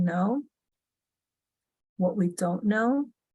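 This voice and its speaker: A dark, mellow, somewhat breathy voice with an American accent. The pace is fairly slow. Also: woman. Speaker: finance technology executive. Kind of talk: interview talk on leadership.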